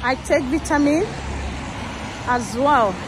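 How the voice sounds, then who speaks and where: High-pitched woman's voice with ordinary pitch variation, a dry sound with no echo, and noticeable background noise. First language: not English. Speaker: vlogger. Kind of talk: casual vlog monologue. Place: street. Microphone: phone near.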